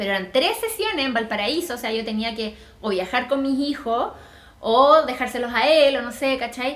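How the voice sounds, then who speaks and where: Amid noticeable background noise and audible room echo, a woman with a Chilean accent talks at a high pitch with ordinary pitch variation. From Chile, Viña del Mar. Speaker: graphic designer and lettering teacher. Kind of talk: casual interview chat.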